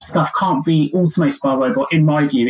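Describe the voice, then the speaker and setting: A man speaks with a British accent. His pitch is high and his pace fairly quick. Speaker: podcast host and recruiter. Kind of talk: interview.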